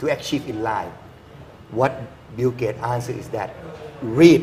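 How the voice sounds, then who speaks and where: Speaking with a Thai accent at a moderate pace, a man of medium pitch keeps fairly even intonation, with big swings in loudness and long, frequent pauses. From rural Thailand. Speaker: engineer and university lecturer. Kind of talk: TV interview.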